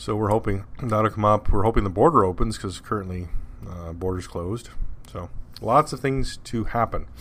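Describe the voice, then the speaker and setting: A man with a Canadian accent mumbles at a moderate pace. His intonation stays lively. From Canada. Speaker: podcast host. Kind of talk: casual monologue. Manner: mumbling.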